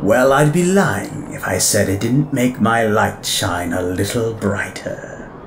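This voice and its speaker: A put-on character voice at a fairly slow pace amid clear background noise. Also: man. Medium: audio drama. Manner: refined, theatrical, self-satisfied.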